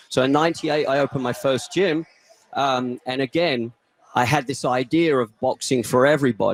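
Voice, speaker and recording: A man with an English accent at a moderate pace, with ordinary pitch variation and a dry, close sound with no echo. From England. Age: 50s. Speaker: boxing gym owner. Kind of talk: casual interview chat.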